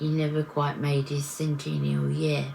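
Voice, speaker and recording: A woman with an English accent speaks against noticeable background noise. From England. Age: 60s. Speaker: vlogger. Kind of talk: personal vlog reflection. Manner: halting.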